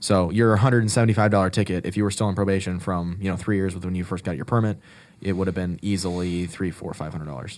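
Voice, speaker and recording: With a fairly even intonation, a man talks at a very fast pace in a very deep, low pitch. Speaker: podcast co-host. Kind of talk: casual chat.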